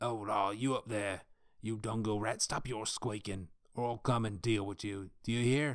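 A man puts on a raspy character voice at medium pitch. He keeps a moderate pace on a very clean recording with a silent background. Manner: snarling.

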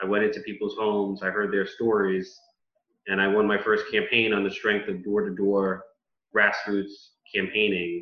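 With a New York accent, a man speaks at a moderate pace in a fairly low pitch and monotone, flat intonation. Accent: New York (Bronx) American English. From US Northeast, the Bronx, New York City. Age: 30s. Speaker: politician. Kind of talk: interview. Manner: articulate, speech-like delivery with some repetitions.

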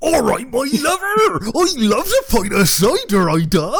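Over clear background noise, a man puts on a character voice in a Worcestershire accent, speaking at a moderate pace in an extremely high pitch with very wide pitch swings. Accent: Worcestershire, West Country English.

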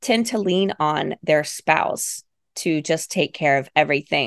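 Lively intonation marks a woman's unremarkable speaking voice at a moderate pace. The sound is dry and close with no echo, over a quiet background. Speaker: podcast host. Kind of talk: casual interview chat.

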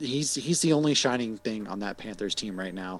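Speaking in an ordinary speaking voice with an American accent, a man has a fairly low pitch, lively intonation, and a moderate pace. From Massachusetts. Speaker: podcaster, sports talk guest. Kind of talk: casual sports chat.

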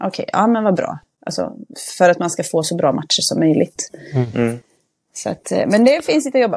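A woman speaks at a fairly quick pace. Still, she leaves long, frequent pauses. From Västergötland, Sweden. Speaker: football club manager and youth coach. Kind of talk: casual podcast interview.

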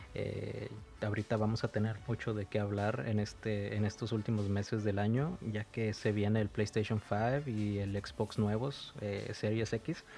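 On a very clean recording with a silent background, a dark, mellow voice moves at a fairly slow pace with very even loudness and fairly even intonation. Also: man, fairly low pitch for a man. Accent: Mexican. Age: 30s. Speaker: podcast co-host. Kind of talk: casual chat. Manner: halting.

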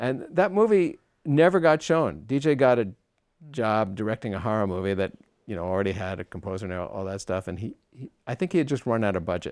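At a fairly quick pace, a man with a fairly low pitch makes very wide pitch swings in a very clean recording with a silent background. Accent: American. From US Northeast (Long Island, New York). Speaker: composer. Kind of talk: interview. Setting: studio.

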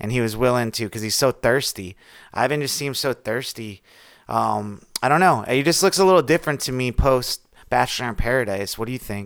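An unremarkable speaking voice from a man at medium pitch, with a fairly quick pace, ordinary pitch variation and a very clean recording with a silent background. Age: 30s. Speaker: podcast co-host. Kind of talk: casual chat.

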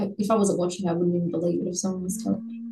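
This woman has an Australian accent. Her pitch is medium. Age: 20s. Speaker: bereaved partner and blood donor. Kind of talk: interview testimony.

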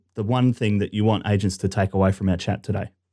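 A man with a fairly low voice speaks in an Australian accent, with ordinary pitch variation. The recording is very clean, and the background is silent. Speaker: podcast host, marketing company CEO. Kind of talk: interview.

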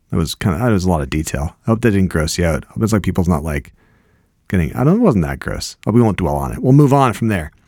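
A man talks at a very fast pace in a very deep, low voice with a dark, mellow tone and vocal fry. His pitch swings very widely. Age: 50s. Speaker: podcast host. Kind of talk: casual chat.

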